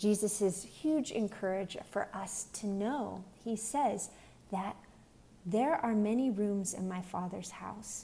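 A woman with an American accent speaks very slowly, somewhat breathy, in a dark, mellow tone. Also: medium pitch for a woman, ordinary pitch variation. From Pennsylvania. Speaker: lay preacher. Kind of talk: gospel reflection.

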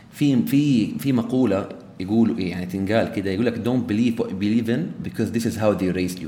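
Lively intonation rides a fairly quick pace. Audible room echo and noticeable background noise surround the voice. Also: man. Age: 20s. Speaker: podcast host. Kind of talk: casual chat.

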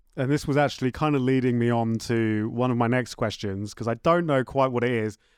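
Medium-pitched male speech at a fairly quick pace, with very even loudness and fairly even intonation. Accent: southern English. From Horsham, West Sussex, southern England. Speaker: podcast host and label runner. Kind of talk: casual interview chat. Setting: home studio.

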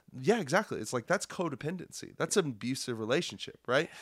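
On a very clean recording with a silent background, a man with an American accent and a normal speaking voice talks at a fairly quick pace with lively intonation. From Nebraska, Lincoln. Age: 30s. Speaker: comedian and middle school teacher. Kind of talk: casual chat. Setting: at home.

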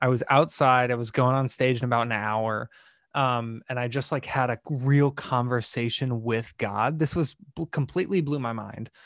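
A man in a medium pitch at a moderate pace, on a very clean recording with a silent background. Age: 20s. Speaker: mental health advocate. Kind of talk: casual chat. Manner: animated.

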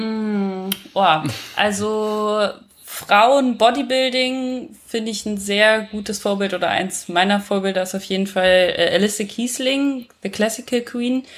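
Very slowly, a woman talks at a fairly high pitch with ordinary pitch variation. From western Germany. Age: 20s. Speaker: bodybuilder and architect. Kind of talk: casual chat.

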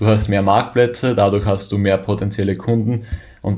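In a room with audible echo, a man with a fairly low pitch and a dark, mellow tone speaks at a moderate pace in a monotone, flat intonation. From Austria. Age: 20s. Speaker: e-commerce seller and account manager. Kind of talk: conference presentation.

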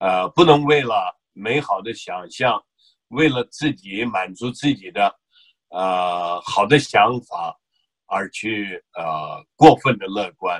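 With a Xinjiang accent, a man talks very slowly at a medium pitch, his intonation lively and his loudness swinging widely, in a dry, close sound with no echo. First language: Uyghur (speaking Chinese). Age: 50s. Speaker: activist, association chairman. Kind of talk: interview. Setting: remote call. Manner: hesitant, many fillers.

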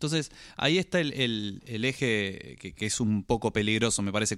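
A man talks in a plain, everyday voice at medium pitch with lively intonation. The recording is very clean, with a silent background. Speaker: podcast co-host. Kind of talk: casual chat.

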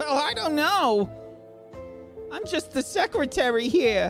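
Over clear background music, a woman uses a put-on character voice with a high pitch at a fairly slow pace.

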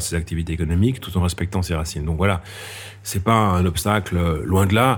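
Very deep, low male speech, fairly quick and fairly even in intonation. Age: 50s. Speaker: head of a national image promotion agency. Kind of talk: interview. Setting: café.

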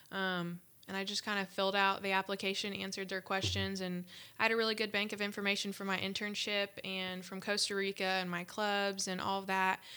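A woman with an American accent, medium pitch and a bright, sharp tone, in a monotone, flat delivery at a fairly quick pace, very clean recording with a silent background. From US Midwest, rural northwest Ohio. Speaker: college student. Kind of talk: interview.

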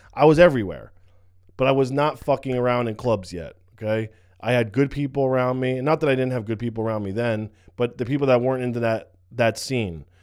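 A man with a medium pitch and an unremarkable speaking voice, fairly quick in pace with ordinary pitch variation, on a very clean recording with a silent background. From New York / New Jersey area. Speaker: bodybuilder and coach. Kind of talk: personal testimony vlog. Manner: casual, many fillers.

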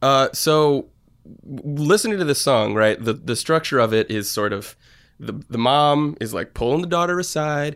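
This is an ordinary speaking voice from a man with an American accent and fairly high pitch. He moves at a moderate pace with ordinary pitch variation on a very clean recording with a silent background. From Connecticut, US. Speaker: podcast co-host. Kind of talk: casual chat.

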